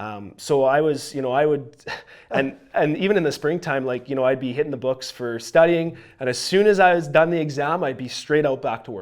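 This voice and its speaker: In a Canadian Prairie accent, a man speaks at a fairly high pitch and a fairly quick pace. The recording is very clean, with a silent background. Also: ordinary pitch variation. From Saskatchewan, Canada. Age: 20s. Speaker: young entrepreneur, lawn care business owner. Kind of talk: podcast interview.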